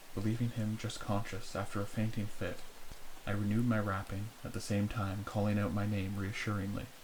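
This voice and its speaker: A soft-spoken man whispers at a fairly quick pace over noticeable background noise. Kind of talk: softly spoken horror story reading for ASMR. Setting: close-mic recording for headphones. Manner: soft-spoken, whispery.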